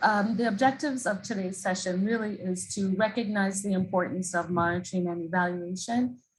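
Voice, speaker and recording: Somewhat breathy, a woman speaks at medium pitch with ordinary pitch variation. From Jamaica. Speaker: international development expert. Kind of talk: presentation. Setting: video call.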